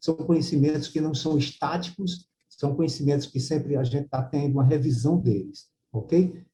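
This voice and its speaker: The man's voice has a dark, mellow tone, a fairly high pitch and ordinary pitch variation. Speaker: university professor giving a lecture. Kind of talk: lecture. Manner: fast; hesitant with many fillers.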